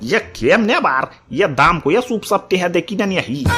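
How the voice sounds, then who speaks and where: A man's cartoonish character voice, high-pitched, raised and projected, at a moderate pace with faint music in the background. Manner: rambling, peppered with the filler 'ia'.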